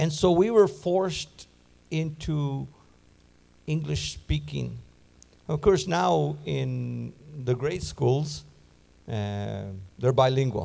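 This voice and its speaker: A man's very slow, dark, mellow voice at medium pitch, with a Spanish accent, very wide pitch swings, and long, frequent pauses. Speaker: Bible teacher. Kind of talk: sermon.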